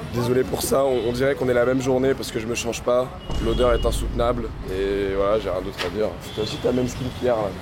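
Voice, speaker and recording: A man at a medium pitch, with audible room echo. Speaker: vlogger and clothing reseller. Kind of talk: travel vlog, casual chat. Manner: casual, hesitant with fillers.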